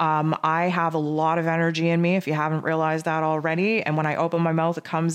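A woman speaks with a Canadian accent. Her pace is fairly quick. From Canada. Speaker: spiritual energy forecaster. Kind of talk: solo spiritual forecast monologue. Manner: fast; animated.

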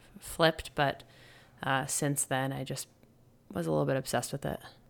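A woman with an American accent and vocal fry at a moderate pace, on a very clean recording with a silent background. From New Jersey, US (Montclair). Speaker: retired professional hockey player. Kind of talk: interview.

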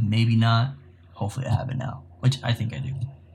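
Somewhat breathy, a man speaks in a flat, monotone voice at a fairly quick pace. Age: 20s. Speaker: podcast co-host, photographer and videographer. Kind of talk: casual chat.

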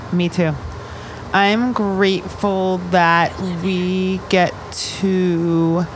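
Over noticeable background noise, a woman speaks in a monotone, flat intonation with long, frequent pauses. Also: medium pitch for a woman. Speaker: radio host. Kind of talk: live radio show chat with young guests. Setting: radio studio in a shipping container. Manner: fast talker, radio voice.

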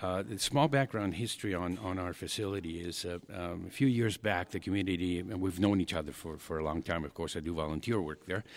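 Over a silent background in a very clean recording, a man talks at a fairly quick pace with hardly any pauses, his very deep, low voice showing ordinary pitch variation. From Argentina. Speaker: paddle sport coach and promoter. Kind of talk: interview. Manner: halting, many fillers.

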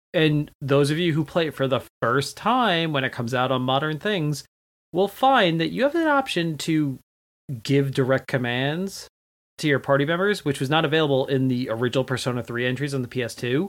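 A man talks at a fairly quick pace in an unremarkable speaking voice, fairly high in pitch with ordinary pitch variation. The recording is very clean with a silent background. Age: 30s. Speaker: video game podcast guest. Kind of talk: casual chat.

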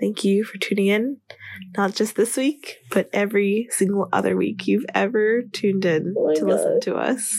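A female-sounding, put-on character voice is raspy and medium in pitch for a woman. It moves at a moderate pace. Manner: sappy, overly sentimental.

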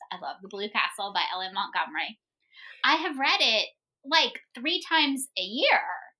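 A woman's raised, projected voice, high in pitch with very wide pitch swings, bright and sharp in tone, at a moderate pace. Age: 40s. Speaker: homeschool podcast co-host and teacher. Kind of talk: casual chat.

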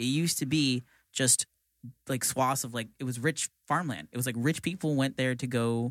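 At a moderate pace and with ordinary pitch variation, this is an ordinary speaking voice with an American accent. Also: man. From Florida (St. Petersburg area). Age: 20s. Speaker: podcast co-host and producer. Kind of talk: casual chat. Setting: studio.

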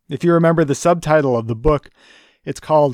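The recording is very clean, with a silent background. A man with an unremarkable speaking voice talks at a moderate pace with ordinary pitch variation. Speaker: church educator leading a book study. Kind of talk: lecture.

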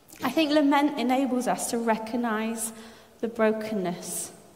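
Through audible room echo and noticeable background noise, a woman speaks at a fairly slow pace, fairly high in pitch with ordinary variation. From France. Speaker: preacher. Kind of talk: sermon.

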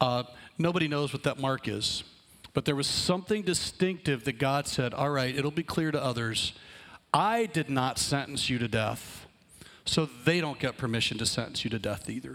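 A man with a normal speaking voice talks at a moderate pace, his fairly high pitch carried by lively intonation. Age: 50s. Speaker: pastor. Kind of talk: sermon.

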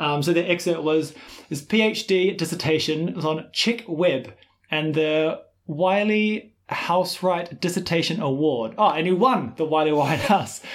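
A man speaks at a fairly slow pace in a high pitch, with a New Zealand accent. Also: ordinary pitch variation. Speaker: swing dance teacher and podcast co-host. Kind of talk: casual chat.

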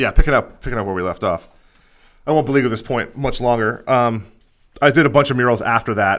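Captured in a very clean recording against a silent background, a man speaks very fast at a medium pitch with ordinary pitch variation. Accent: American. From Pennsylvania, Lehigh Valley. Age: 30s. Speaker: podcast host. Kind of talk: casual chat.

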